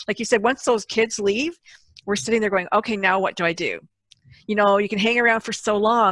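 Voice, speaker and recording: A woman speaks in a normal speaking voice at a fairly high pitch and a fairly quick pace, with ordinary pitch variation. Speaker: podcast host. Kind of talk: casual interview conversation.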